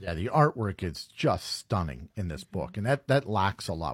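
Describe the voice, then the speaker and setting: At a moderate pace, a man speaks in a fairly low, somewhat breathy voice with very wide pitch swings. The very clean recording has a silent background and a dry, close sound with no echo. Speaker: radio host. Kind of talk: casual interview.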